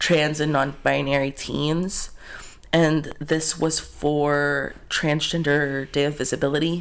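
In a very clean recording with a silent background, a man with a fairly high pitch talks very slowly in a monotone, flat delivery. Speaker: podcast co-host. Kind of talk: casual chat. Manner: laughs often.

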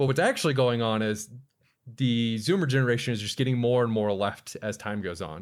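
A man with an American accent speaks at a fairly quick pace and a medium pitch in a plain, everyday voice, on a very clean recording with a silent background. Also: ordinary pitch variation. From Florida. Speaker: podcast host. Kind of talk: casual comedic chat.

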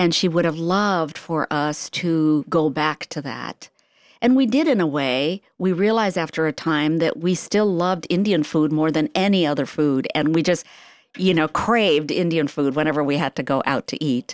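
A woman speaks in a plain, everyday voice, fairly low in pitch, with ordinary pitch variation and a moderate pace. The recording is very clean and dry, close with no echo, over a silent background. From India, then raised in US from age nine. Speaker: novelist. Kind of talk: radio interview.

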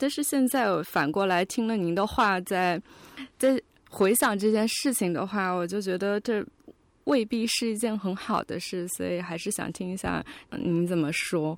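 A woman with a normal speaking voice talks fairly slowly at a medium pitch. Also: ordinary pitch variation. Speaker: podcast co-host, visual designer. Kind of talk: casual chat.

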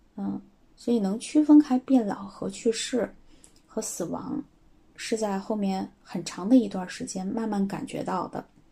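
A woman talks at a fairly slow pace with a fairly high pitch and ordinary pitch variation. Her loudness swings widely over noticeable background noise. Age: 30s. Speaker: schoolteacher. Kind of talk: recorded voice submission answering questions.

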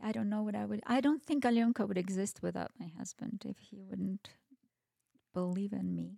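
A woman with a Russian accent at a moderate pace, in a dry, close sound with no echo. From Kazakhstan (Almaty). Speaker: restaurant owner. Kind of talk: casual chat. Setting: in a home.

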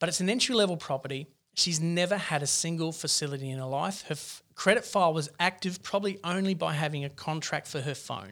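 Speaking very fast with hardly any pauses, a man with an Australian accent uses a fairly high pitch and ordinary pitch variation. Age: 40s. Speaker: mortgage broker. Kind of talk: podcast interview.

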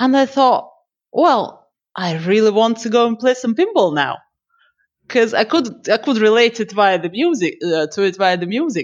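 A fairly high-pitched woman with a Russian accent and very wide pitch swings, against a quiet background. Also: moderate pace. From Siberia, Russia. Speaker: pinball streamer. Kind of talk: casual interview.

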